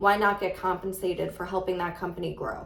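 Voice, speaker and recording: A woman with a New York accent, medium-pitched, at a moderate pace, with audible room echo and noticeable background noise. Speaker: real estate agent. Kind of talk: casual vlog talk to camera.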